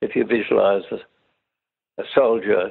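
A man talks at a moderate pace in an Australian accent. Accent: Australian, older educated style. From Sydney, Australia. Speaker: war veteran. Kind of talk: oral history interview.

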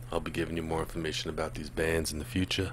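A man speaks with vocal fry. Light background noise can be heard. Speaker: music reaction host. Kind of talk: casual vlog chat. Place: home room. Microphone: studio mic.

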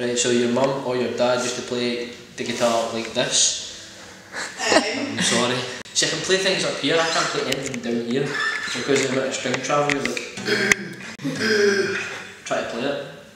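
A man at a moderate pace with long, frequent pauses, audible room echo and loud background noise. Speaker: guitar reviewer. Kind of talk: casual guitar review to camera. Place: home room. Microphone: camera far.

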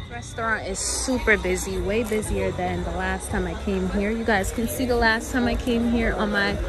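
Through noticeable background noise, a woman talks at a moderate pace with hardly any pauses, the sound dry with no echo. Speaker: travel vlogger. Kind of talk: casual vlog chat.

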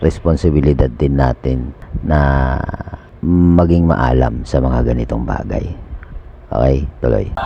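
Fairly slow delivery with long, frequent pauses, ordinary pitch variation, and noticeable background noise. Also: man, very deep, low pitch for a man. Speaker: video reaction channel host. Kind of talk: reaction commentary.

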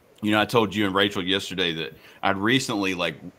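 A man with an unremarkable speaking voice, fairly low in pitch, at a fairly quick pace. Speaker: panelist. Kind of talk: live panel discussion. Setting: video call. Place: home room.

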